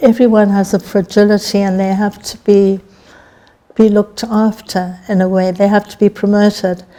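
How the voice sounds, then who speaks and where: Against noticeable background noise, a woman speaks at a medium pitch in a monotone, flat delivery. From Zimbabwe. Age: 70s. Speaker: author. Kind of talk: interview.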